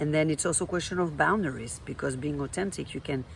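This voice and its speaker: A woman with a French accent speaks at a very deep, low pitch, her intonation fairly even. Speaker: life coach. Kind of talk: vlog monologue. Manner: hesitant, with fillers.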